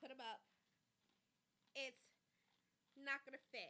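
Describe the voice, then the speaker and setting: Her voice is raised and projected, with a bright, sharp tone and a high pitch. The woman speaks at a fairly slow pace. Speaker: podcast host. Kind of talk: casual news commentary.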